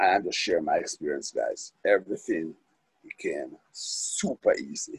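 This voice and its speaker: A man at a fairly slow pace, in a dry, close sound with no echo. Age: 60s. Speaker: recovery meeting speaker. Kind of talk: testimony. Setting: phone call. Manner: halting.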